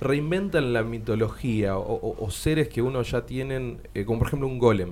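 With a Rioplatense accent, a man talks using lively intonation. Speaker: radio host. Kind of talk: casual chat.

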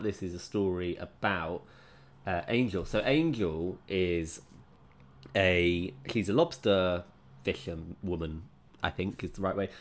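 Man with an English accent and a bright, sharp tone, on a very clean recording with a silent background. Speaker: book podcast host. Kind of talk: solo book review podcast. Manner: slower than normal.

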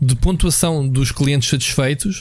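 Speaking at a fairly slow pace, a man uses an ordinary speaking voice, pitched fairly high, with ordinary pitch variation. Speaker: video game podcast co-host. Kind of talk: casual chat.

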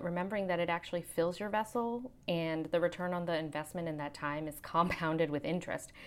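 Fairly quick and lively in intonation, a woman talks in a normal speaking voice with a fairly low pitch. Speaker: pediatric physician and educator. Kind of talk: personal essay read aloud.

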